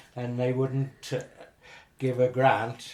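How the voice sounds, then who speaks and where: A man speaks with a Herefordshire accent at a medium pitch. His tone is dark and mellow, and his intonation stays flat and monotone. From Herefordshire, England. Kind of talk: oral history interview answer.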